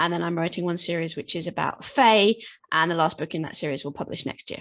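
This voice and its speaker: A woman with a British accent speaks at a fairly low pitch against a quiet background. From Britain. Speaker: fantasy author. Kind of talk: interview. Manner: halting.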